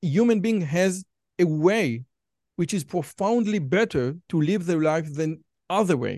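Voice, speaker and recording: A man with an Israeli accent talks at a high pitch in a dark, mellow tone, with lively intonation. His pace is fairly slow, and the sound is dry and close with no echo. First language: Hebrew. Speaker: podcast host. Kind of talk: interview.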